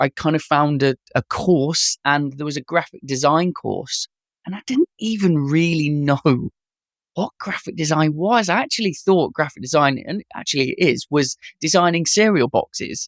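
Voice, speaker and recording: Recorded with a dry, close sound and no echo, a man with an East Midlands accent speaks at a fairly high pitch with ordinary pitch variation. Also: moderate pace. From East Midlands, England (Leicester). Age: 40s. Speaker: animation director and designer. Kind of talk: podcast interview.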